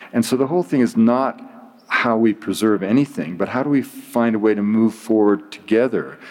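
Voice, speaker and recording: A man with a Canadian accent has an ordinary speaking voice at medium pitch. His pace is moderate, with ordinary pitch variation. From Canada, British Columbia. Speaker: anthropologist. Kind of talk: interview. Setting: library.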